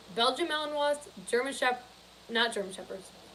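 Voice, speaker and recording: A woman speaks in a high voice. Audible room echo surrounds her. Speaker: live streamer. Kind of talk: casual live stream chat. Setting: grandparents' guest room.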